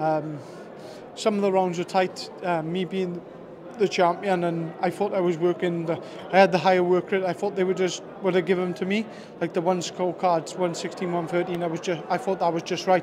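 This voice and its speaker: This man speaks in a high pitch at a moderate pace with monotone, flat intonation, and noticeable background noise is present. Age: 30s. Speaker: boxer. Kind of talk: post-fight interview; interview answer. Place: hall. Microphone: handheld.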